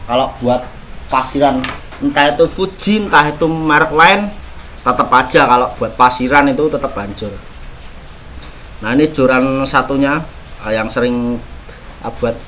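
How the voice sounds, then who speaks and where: A man with a Javanese accent speaks at a fairly slow pace, using ordinary pitch variation and long, frequent pauses. Noticeable background noise runs underneath. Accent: rustic Javanese-tinged pronunciation. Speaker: fishing gear YouTuber. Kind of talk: gear review and unboxing. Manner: casual, halting with fillers.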